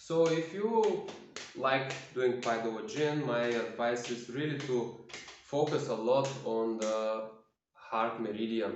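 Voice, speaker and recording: With a non-native accent, a man speaks at a very slow pace in a medium pitch with ordinary pitch variation, and audible room echo surrounds him. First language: not English. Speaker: self-healing practice demonstrator. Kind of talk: tutorial. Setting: at home, quiet for neighbors. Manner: halting.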